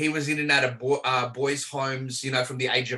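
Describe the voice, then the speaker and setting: A man with an Australian accent speaks at a fairly quick pace and medium pitch in a monotone, flat intonation, with noticeable background noise behind him. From Australia, Melbourne. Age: 40s. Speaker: prayer ministry leader. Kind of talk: podcast interview.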